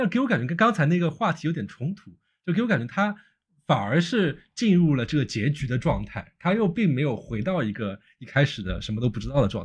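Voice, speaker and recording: Vocal fry runs through a man's fairly high voice, which moves at a fairly quick pace. His pitch swings very widely. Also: quiet background. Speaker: podcast host. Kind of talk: interview chat.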